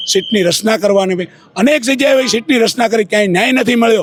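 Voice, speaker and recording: A man's high-pitched voice with ordinary pitch variation, against noticeable background noise. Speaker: community leader. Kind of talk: street interview.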